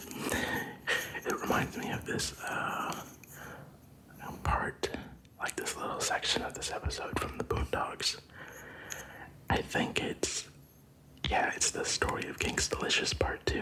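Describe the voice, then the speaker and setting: A man whispers at a very slow pace, with long, frequent pauses. Noticeable background noise runs behind him. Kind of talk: ASMR whispering talk to camera. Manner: whispered, soft.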